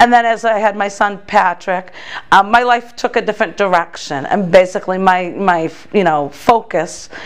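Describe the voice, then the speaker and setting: With an American accent, a woman speaks at a moderate pace with ordinary pitch variation over noticeable background noise. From Massachusetts. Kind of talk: interview testimony. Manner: halting, many fillers and restarts.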